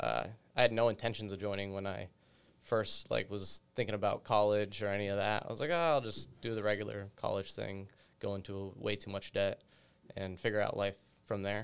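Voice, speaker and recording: A plain, everyday voice with an American accent, fairly even intonation and a fairly quick pace, in a very clean recording over a silent background. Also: man, fairly low pitch for a man. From western Massachusetts, rural. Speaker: staff sergeant. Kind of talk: casual panel discussion.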